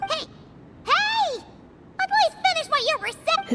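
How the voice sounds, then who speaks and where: Squeaky and extremely high, this put-on character voice goes at a fairly slow pace. Light background noise sits behind it. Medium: video game. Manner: lively, informal.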